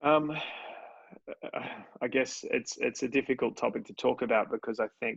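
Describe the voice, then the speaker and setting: A man with an Australian accent speaks with long, frequent pauses. The sound is dry and close with no echo, and his loudness swings a lot. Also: moderate pace. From Australia, Sydney. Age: 30s. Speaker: entrepreneur. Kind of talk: interview.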